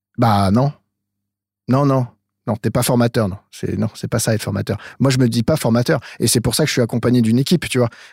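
The man's somewhat breathy voice sits at medium pitch and moves at a fairly quick pace, with a dry, close sound and no echo. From France, Eure-et-Loir near Chartres. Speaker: metal producer and sound engineer. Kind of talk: casual interview. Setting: remote call from his studio control room. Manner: halting, many repetitions.

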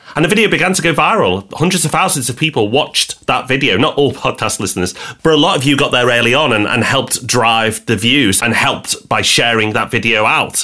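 Hardly pausing at all, a man talks at a fairly quick pace and medium pitch, with lively intonation, very even loudness, and noticeable background noise. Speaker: property podcast co-host. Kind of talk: casual chat.

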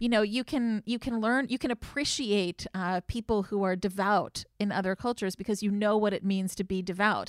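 Recorded very cleanly against a silent background, a woman with an unremarkable speaking voice and medium pitch talks at a moderate pace with fairly even intonation, very even loudness, hardly any pauses, and a dry, close sound with no echo. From Connecticut. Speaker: rabbi. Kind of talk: casual chat.

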